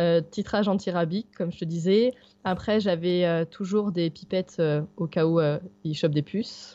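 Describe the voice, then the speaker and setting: A woman speaks with fairly even intonation in a plain, everyday voice. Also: fairly low pitch for a woman, moderate pace. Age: 30s. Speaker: backpacking traveller with her dog. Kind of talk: interview, casual chat.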